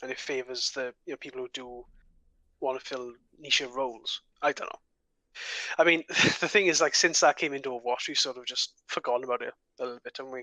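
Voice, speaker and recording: A man with a strong Welsh accent talks at a very fast pace, with long, frequent pauses and big swings in loudness. His pitch is medium, his intonation fairly even, and the sound is dry and close, with no echo. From Wales, the valleys. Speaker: podcast co-host. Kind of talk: casual chat.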